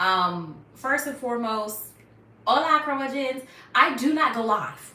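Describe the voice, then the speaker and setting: Projecting her voice loudly, a woman speaks at a fairly slow pace in a high, bright, sharp tone with lively intonation, and room echo can be heard. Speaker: YouTuber on natural hair care. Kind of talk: live stream Q&A. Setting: live stream at home. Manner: casual, chatty.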